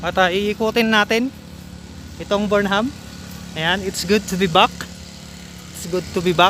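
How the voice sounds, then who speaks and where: Over noticeable background noise, a man uses a raised, projected voice at a high pitch. He goes at a fairly slow pace with long, frequent pauses. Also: fairly even intonation. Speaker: vlogger. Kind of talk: casual vlog narration. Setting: outdoors. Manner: laughs often.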